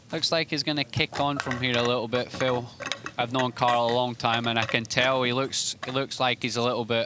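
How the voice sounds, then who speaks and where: A man at a medium pitch with an American accent, monotone, flat intonation, a moderate pace and very even loudness, over noticeable background noise. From Scotland. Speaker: pool commentator, former player. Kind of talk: live commentary.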